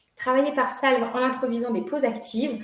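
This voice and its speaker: Audible room echo around a woman's voice. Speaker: workshop leader on workplace wellbeing. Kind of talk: online workshop presentation. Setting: video call.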